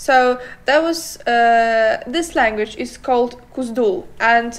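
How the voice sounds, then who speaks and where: This is a woman with a high-pitched voice. She speaks with a non-native accent. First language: not English. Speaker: podcast co-host. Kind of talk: casual chat. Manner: halting.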